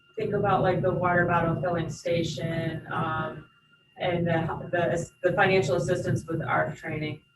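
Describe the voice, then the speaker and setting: Noticeable background noise under a woman's fairly low-pitched voice. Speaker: airport director. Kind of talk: board meeting presentation. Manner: slow; hesitant, many fillers.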